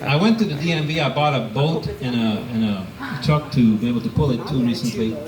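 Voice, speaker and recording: Fairly quick, lively intonation from a man, with audible room echo and noticeable background noise. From Hungary. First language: Hungarian. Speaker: amateur stand-up comedian. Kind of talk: stand-up. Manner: hesitant with fillers.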